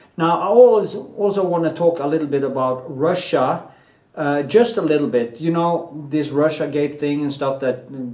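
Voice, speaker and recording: Over noticeable background noise and audible room echo, a man talks at a moderate pace with fairly high pitch and ordinary pitch variation. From Norway. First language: Norwegian. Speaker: artist and painter, video blogger. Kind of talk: opinion monologue, rant. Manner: casual, hesitant with many fillers.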